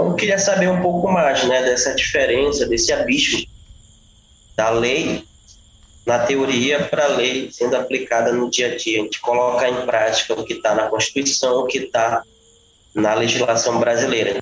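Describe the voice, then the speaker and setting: A man's ordinary speaking voice at medium pitch and moderate pace, with ordinary pitch variation. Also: very even loudness. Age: 30s. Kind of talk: interview.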